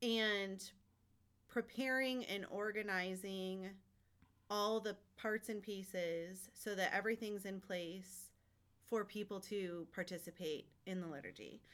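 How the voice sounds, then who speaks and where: This woman talks at a fairly slow pace in a normal speaking voice. Her pitch sits at a medium level, and her intonation stays fairly even. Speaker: parish staff member, mother.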